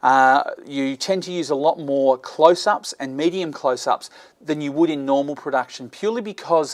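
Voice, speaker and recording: A fairly quick pace in an Australian accent. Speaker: video blogger, video production tutor. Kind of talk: tutorial. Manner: halting, with frequent fillers.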